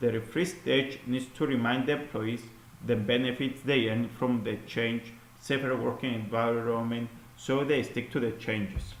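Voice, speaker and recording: Audible room echo surrounds a man with a medium-pitched voice and very even loudness. He keeps a moderate pace and fairly even intonation. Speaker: student presenting an assignment. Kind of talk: recorded class presentation. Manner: halting, with fillers and repeats.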